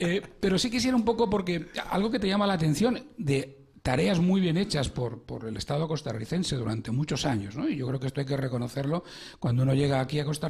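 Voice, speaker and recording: Fairly quick, lively speech from a man with a Madrid accent and vocal fry. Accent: Madrid Spanish, noticeable. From Spain, Madrid. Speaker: radio host, financial psychologist. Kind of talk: radio interview. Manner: hesitant, many fillers.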